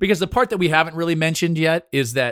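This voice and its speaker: On a very clean recording with a silent background and dry, close sound without echo, a man with a fairly high pitch speaks in an animated tone. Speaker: podcast host and former TV show host. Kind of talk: casual chat.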